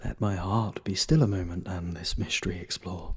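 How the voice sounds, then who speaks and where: Over noticeable background noise, a man keeps a moderate pace as he talks. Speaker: voice actor. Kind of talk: poetry reading. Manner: dramatic, expressive.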